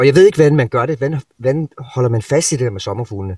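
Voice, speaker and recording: A man's somewhat breathy, dark and mellow voice at a medium pitch and very fast pace, with ordinary pitch variation and a dry, close sound with no echo. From Denmark, Sønderborg, Southern Jutland. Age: 40s. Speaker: rock guitarist. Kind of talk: masterclass talk to students.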